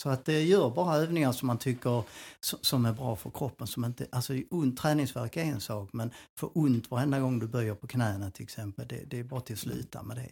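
Somewhat breathy, a man speaks with ordinary pitch variation in a very clean recording with a silent background. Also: medium pitch for a man, fairly quick pace. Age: 60s. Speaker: personal trainer. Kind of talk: casual chat.

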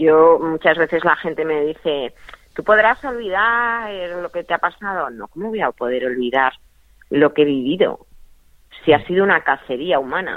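This woman talks at a moderate pace, with very wide pitch swings and big swings in loudness. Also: fairly low pitch for a woman. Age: 50s. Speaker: whistleblower and online craft seller. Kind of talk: interview. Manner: hesitant, many fillers.

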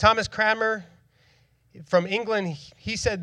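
A man with a Philadelphia accent, bright and sharp in tone, at a moderate pace against a quiet background. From Northeast Philadelphia. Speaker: church planter and preacher. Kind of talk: sermon. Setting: church stage with congregation.

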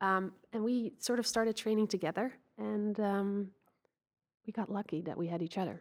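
In a Dutch accent, the speaker keeps a moderate pace and fairly even intonation, with long, frequent pauses. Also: woman, medium pitch for a woman. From Netherlands. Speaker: Olympic sailor. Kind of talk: interview.

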